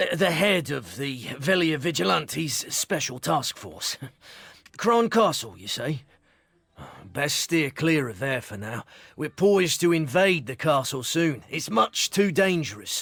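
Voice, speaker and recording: Using a put-on character voice, a man speaks at a fairly high pitch. His pace is fairly slow. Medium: video game. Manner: hesitant, throat-clearing.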